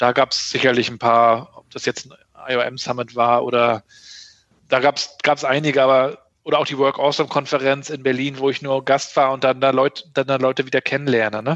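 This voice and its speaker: At a moderate pace, a man with medium pitch speaks in a monotone, flat way, his loudness swinging widely. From northern Germany, Rostock (former East Germany). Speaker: digital agency consultant and rapper. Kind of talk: interview conversation. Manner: frequent fillers and restarts.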